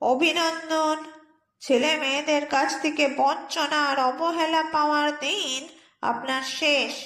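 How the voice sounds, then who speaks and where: In a put-on character voice, a woman speaks at high pitch and a fairly slow pace. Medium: read story. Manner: brisk, officious, cheeky.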